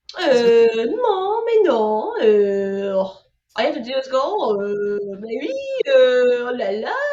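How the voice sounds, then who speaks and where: A put-on character voice, female-sounding and nasal, speaks at a very slow pace in a high pitch with a French accent, with audible echo. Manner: exaggerated, nasal, hesitant filler sounds.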